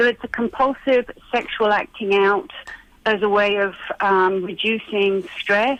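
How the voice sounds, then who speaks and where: Over noticeable background noise, a woman with a medium pitch speaks with fairly even intonation. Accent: British. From UK. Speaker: therapist. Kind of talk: radio interview.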